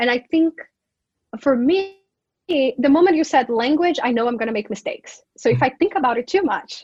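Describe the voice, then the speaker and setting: With a Brazilian Portuguese accent, a woman talks in a high pitch using lively intonation. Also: moderate pace. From Brazil, Manaus (Amazonas). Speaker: professor. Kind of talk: interview conversation.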